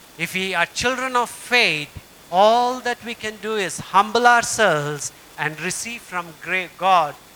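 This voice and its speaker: Amid noticeable background noise, a man talks at a fairly slow pace with lively intonation. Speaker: pastor. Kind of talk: sermon.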